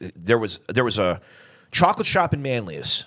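Speaking in an American accent with vocal fry, a man uses an energetic, animated tone, very wide pitch swings and a moderate pace. The recording is very clean, with a silent background. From upstate New York, Southern Tier (Vestal). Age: 40s. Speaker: historian. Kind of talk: casual interview chat.

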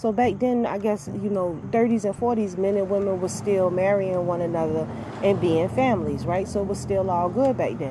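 A woman with an animated tone and ordinary pitch variation is heard amid audible room echo and noticeable background noise. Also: medium pitch for a woman, moderate pace. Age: 40s. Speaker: podcast host. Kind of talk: casual monologue.

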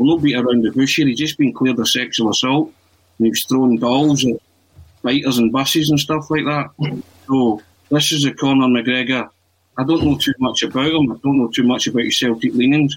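A man with an ordinary speaking voice, medium pitch, fairly even intonation, very even loudness and a fairly quick pace. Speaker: football podcast co-host. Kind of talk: casual football chat.

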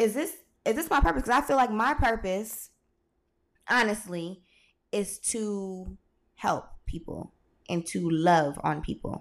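On a very clean recording with a silent background, a woman at medium pitch speaks at a fairly slow pace with very wide pitch swings. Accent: American. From California, Stockton. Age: 20s. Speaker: podcast host. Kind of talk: casual solo monologue. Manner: frequent filler 'um'.

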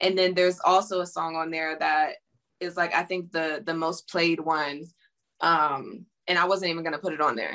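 Her tone bright and sharp, a woman speaks at a fairly low pitch and a moderate pace with fairly even intonation. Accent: American. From Pittsburgh, Pennsylvania, US. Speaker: singer and model. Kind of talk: interview. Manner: casual, filler-heavy.

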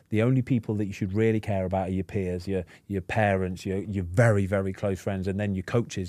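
The voice has a dark, mellow tone and fairly even intonation, delivered at a very fast pace. The recording is very clean, with a silent background. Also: man. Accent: English. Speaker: podcast host, former footballer. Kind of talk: casual chat.

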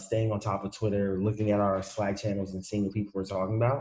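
A dark, mellow tone comes with a somewhat breathy quality. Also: man. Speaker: podcast co-host. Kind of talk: casual interview.

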